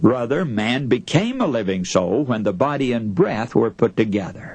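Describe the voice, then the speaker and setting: The pitch swings very widely. Noticeable background noise is present. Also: man. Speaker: radio preacher / sermon speaker. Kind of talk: radio sermon.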